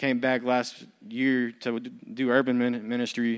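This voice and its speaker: On a very clean recording with a silent background, a man with an American accent speaks at a medium pitch in a monotone, flat intonation. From US, military family. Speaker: recovery program staff. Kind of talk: testimony. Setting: church.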